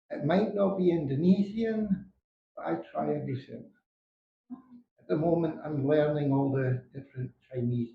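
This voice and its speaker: A man with a Scottish accent speaks at a fairly high pitch and moderate pace, with lively intonation. His loudness swings widely, and his pauses are long and frequent. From Scotland. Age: 60s. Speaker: retired expat. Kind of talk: interview.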